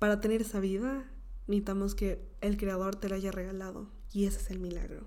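In a dark, mellow tone, a woman talks fairly quickly at a medium pitch in a flat monotone, with audible room echo. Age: 20s. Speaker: podcast host. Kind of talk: motivational monologue.

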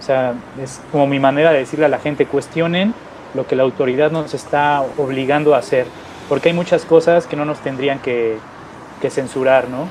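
A man keeps fairly even intonation at a moderate speed while noticeable noise runs in the background. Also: fairly high pitch for a man. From Mexico City. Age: 40s. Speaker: magazine founder and entrepreneur. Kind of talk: interview.

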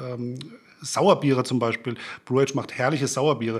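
With a Frankfurt accent, a man speaks at a moderate pace with fairly even intonation. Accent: Frankfurt German accent, still noticeable. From Germany, Frankfurt. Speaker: beer blogger. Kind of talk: casual chat. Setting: studio.

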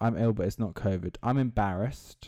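Delivered at a fairly slow pace in an English accent, the speech has an animated tone with ordinary pitch variation. The recording is very clean, and the background is silent. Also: man. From England. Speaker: student podcaster. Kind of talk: casual solo monologue. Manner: animated, rambling with frequent laughs.

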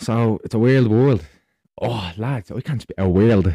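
The man's dark, mellow tone carries lively intonation in a dry, close recording with no echo.

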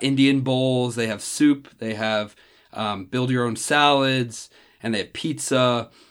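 With an American accent, a man speaks at medium pitch and a fairly slow pace in a normal speaking voice. The recording is very clean, with a silent background. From New Jersey (Randolph, near New York City). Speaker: college student. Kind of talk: casual chat.

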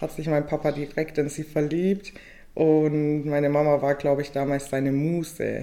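A woman's very deep, low-pitched voice, dark and mellow, with monotone, flat intonation. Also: moderate pace. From Bavarian Swabia, Weißenhorn near Ulm. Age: 20s. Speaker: law student. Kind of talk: casual chat. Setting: studio table.

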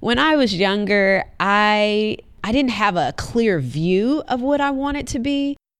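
A woman's fairly high, unremarkable speaking voice with lively intonation and a fairly slow pace, in a very clean recording with a silent background. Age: 30s. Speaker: podcast guest exploring career path. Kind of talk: interview conversation.

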